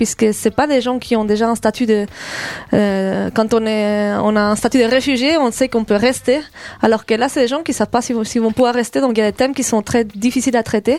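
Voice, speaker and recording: At a fairly quick pace, a woman uses an ordinary speaking voice, fairly high in pitch, with fairly even intonation and very even loudness. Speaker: theatre director. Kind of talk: radio interview.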